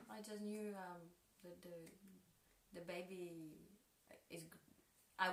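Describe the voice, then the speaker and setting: A woman with a medium-pitched voice speaks amid audible room echo. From Poland (Kraków), two childhood years in Mexico. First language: Polish. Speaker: dancer and choreographer. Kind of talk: interview. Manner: halting, many hesitations.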